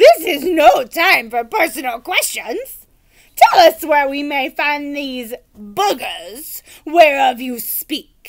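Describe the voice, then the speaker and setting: A woman uses a put-on character voice, high-pitched with lively intonation. Her pace is very slow and her loudness swings a lot. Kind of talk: archaic chivalric speech. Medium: read story. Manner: grand, earnest.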